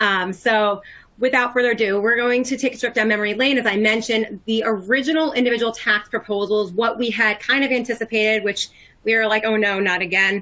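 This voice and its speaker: A woman speaks at a fairly quick pace in a fairly high pitch. Her tone is bright and sharp, and her intonation fairly even. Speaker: tax expert presenter. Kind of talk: webinar presentation. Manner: fast.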